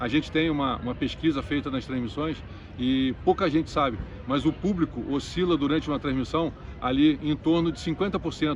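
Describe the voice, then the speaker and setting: Using a plain, everyday voice, a man with a fairly high pitch and ordinary pitch variation talks at a fairly quick pace. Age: 60s. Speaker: tennis commentator and coach. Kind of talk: interview.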